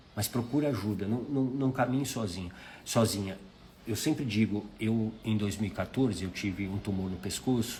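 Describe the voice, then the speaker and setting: At a moderate pace, a man with a Brazilian accent speaks in a dark, mellow, somewhat breathy voice, fairly low in pitch with ordinary variation. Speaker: life mentor. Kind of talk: live stream talk. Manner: conversational.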